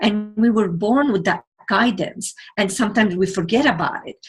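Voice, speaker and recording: A woman with a medium-pitched, somewhat breathy voice speaks at a fairly slow pace. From Lebanon. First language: not English (English is third language). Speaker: television producer and motivational speaker. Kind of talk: interview. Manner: halting.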